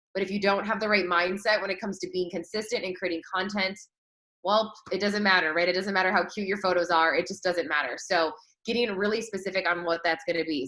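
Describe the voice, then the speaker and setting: In a bright, sharp tone, a woman talks at a very fast pace. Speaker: marketing coach and entrepreneur. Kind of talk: online training presentation. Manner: animated.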